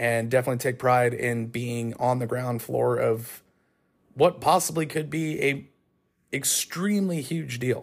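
A man with an American accent and an unremarkable speaking voice, medium pitch, ordinary pitch variation, and a fairly slow pace. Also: very clean recording, silent background. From Northern California. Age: 30s. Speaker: motorsports announcer. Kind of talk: casual solo monologue. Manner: conversational, with frequent fillers and restarts.

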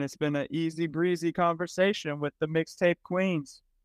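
This man has an unremarkable speaking voice, pitched fairly high, with fairly even intonation. The sound is dry and close with no echo, over a quiet background. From US Midwest, Cleveland, Ohio. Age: 30s. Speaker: rapper, DJ and guitarist. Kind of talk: casual interview chat. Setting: podcast interview.

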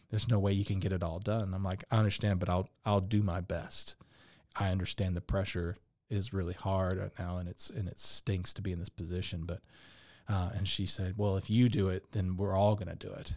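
A man with a Texan accent speaks in a very deep, low monotone at a fairly quick pace. The recording is very clean, with a silent background. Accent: Texan American. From Texas, Dallas. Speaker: business owner, furniture maker and musician. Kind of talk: interview.

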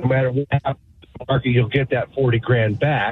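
A man talks at a fairly quick pace with a medium pitch and a plain, everyday voice. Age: 60s. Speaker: carpenter calling in. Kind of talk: radio call-in question.

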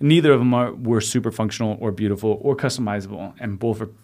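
In a plain, everyday voice, a man talks fairly quickly at a medium pitch with fairly even intonation, on a very clean recording with a silent background. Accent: American. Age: 30s. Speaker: sommelier. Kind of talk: casual chat.

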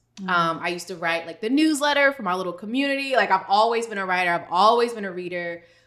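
A woman talks at a very fast pace with hardly any pauses. Her pitch sits in the medium range. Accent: American. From US, DC/Maryland area. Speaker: financial expert and business founder. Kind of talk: casual interview.

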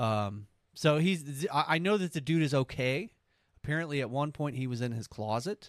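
A man with an American accent talks at a fairly high pitch and moderate pace. His intonation is lively, in a very clean recording with a silent background. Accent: southern US, stronger when drinking. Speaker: podcast host. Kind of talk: casual banter.

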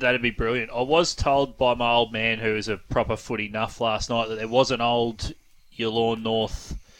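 At a moderate pace, a man speaks at medium pitch with monotone, flat intonation. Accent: Australian. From East Gippsland, Victoria, Australia. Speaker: radio host. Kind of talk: radio interview.

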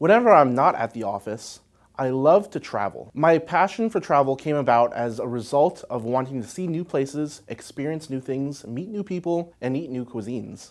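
In a very clean recording with a silent background, a man with a plain, everyday voice talks at a moderate pace in a fairly high pitch with lively intonation. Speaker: company CEO. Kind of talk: interview.

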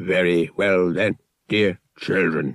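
Putting on a character voice, a man speaks with a very deep, low pitch and a raspy sound. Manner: formal, polite.

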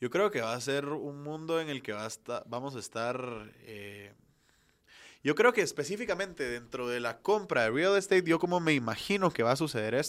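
A man at a fairly high pitch, with very wide pitch swings and a moderate pace. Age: 20s. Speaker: virtual reality entrepreneur. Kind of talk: interview.

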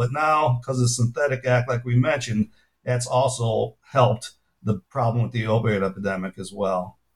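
With a somewhat breathy quality, a man talks in a medium pitch. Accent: American. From US Midwest, Chicago. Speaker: pharmacology professor and author. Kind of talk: interview.

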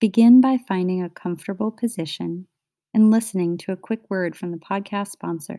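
With a gentle, soothing, dark and mellow tone, a woman of medium pitch speaks with ordinary pitch variation and big swings in loudness, in a dry, close sound with no echo on a very clean recording with a silent background. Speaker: podcast host. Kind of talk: guided meditation. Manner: slow, soothing, calm; gentle, rhythmic, with pauses between phrases.

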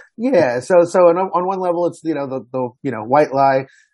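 The man's delivery moves fairly quickly. His pitch rises and falls in an ordinary way. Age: 40s. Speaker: author and college English teacher. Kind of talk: interview. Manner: halting, many fillers.

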